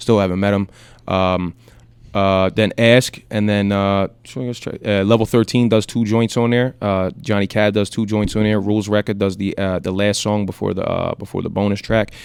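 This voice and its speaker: With a slight South Philly accent, a man speaks at a moderate pace in a fairly low pitch and a monotone, flat intonation. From South Philadelphia. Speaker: rapper. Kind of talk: radio interview. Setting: radio studio. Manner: halting.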